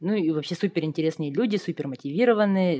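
The recording is dry and close, without any echo. The woman's tone is dark and mellow. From Yakutia, Russia. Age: 30s. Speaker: software developer. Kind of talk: casual interview.

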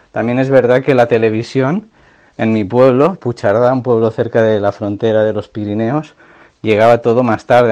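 A man with a dark, mellow tone speaks at a medium pitch and a fairly quick pace. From Catalonia, Pyrenees near Andorra. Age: 30s. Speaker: music fan, cultural promoter. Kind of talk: recorded testimony.

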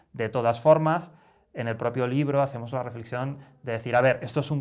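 A man with an unremarkable speaking voice and fairly even intonation, in a very clean recording with a silent background. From Spain, Barcelona. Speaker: satirical newspaper director, writer. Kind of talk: interview.

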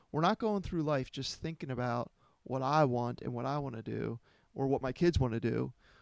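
Recorded very cleanly against a silent background with a dry, close sound and no echo, an ordinary speaking voice moves at a fairly quick pace with ordinary pitch variation. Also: man. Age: 30s. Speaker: pastor. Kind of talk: casual chat.

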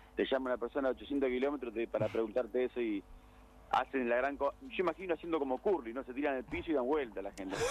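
A man at a medium pitch talks at a very fast pace with ordinary pitch variation. Noticeable background noise sits behind him. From Argentina. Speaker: radio segment reporter on sports clubs. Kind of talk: casual radio chat.

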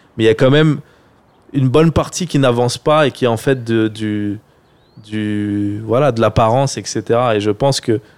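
A man talks at a moderate pace with a medium pitch and ordinary pitch variation. Long pauses come often. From France, Seine-Saint-Denis (93). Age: 30s. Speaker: film director and online creator. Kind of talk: casual interview chat.

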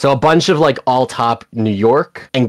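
In a very clean recording with a silent background, a man speaks at a fairly slow pace with ordinary pitch variation in a plain, everyday voice. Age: 20s. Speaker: startup founder and CEO. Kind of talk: interview.

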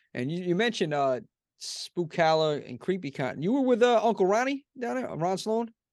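A man with an American accent speaks at a high pitch with very wide pitch swings. The background is quiet. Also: fairly quick pace. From US Northeast. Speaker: podcast host. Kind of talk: casual interview chat.

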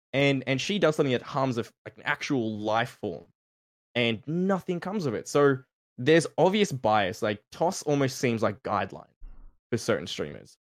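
A man's voice swings very widely in pitch as he talks at a moderate pace. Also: medium pitch for a man. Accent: Australian. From Australia. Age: 20s. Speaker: streamer. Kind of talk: casual panel discussion. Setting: live stream call.

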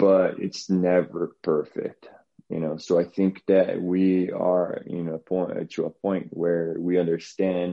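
A man with a Portuguese accent speaks very slowly in a very deep, low voice, monotone and flat. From Brazil. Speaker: strength and conditioning coach. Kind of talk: interview.

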